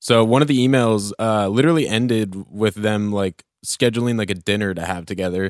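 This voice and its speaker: With an American accent and an ordinary speaking voice, a man speaks at a fairly low pitch and a fairly quick pace, his intonation fairly even, on a very clean recording with a silent background. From Oregon, US. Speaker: podcast co-host. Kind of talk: casual chat.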